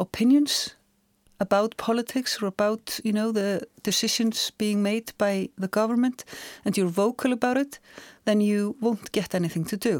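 A woman with an Icelandic accent at a moderate pace, in a dry, close sound with no echo. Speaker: journalist and author. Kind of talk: casual chat. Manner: halting.

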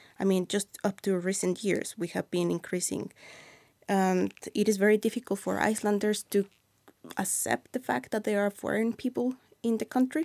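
A woman with a medium pitch talks at a moderate pace with ordinary pitch variation, the sound dry and close with no echo. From Mexico City. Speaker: YouTube creator and new Icelander. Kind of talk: casual interview chat.

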